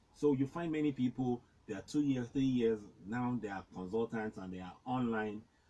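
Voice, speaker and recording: A man's dark, mellow tone sits at medium pitch with ordinary pitch variation. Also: moderate pace, big swings in loudness. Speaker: farmer and agriculture consultant. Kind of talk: interview. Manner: halting.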